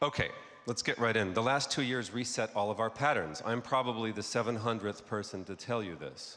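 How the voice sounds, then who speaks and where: Someone male, a man with an American accent, speaks at a moderate pace. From United States. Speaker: advertising creative executive. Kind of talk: conference talk. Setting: stage with audience.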